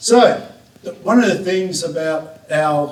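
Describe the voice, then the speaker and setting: The man's pitch varies in an ordinary way while noticeable noise carries on in the background. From south-west Western Australia. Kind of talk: conference talk.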